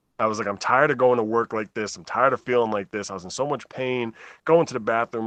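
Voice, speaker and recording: A man's medium-pitched voice at a very fast pace, with ordinary pitch variation, a dry, close sound with no echo and a quiet background. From New Jersey. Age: 30s. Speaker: patient advocate. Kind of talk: casual interview.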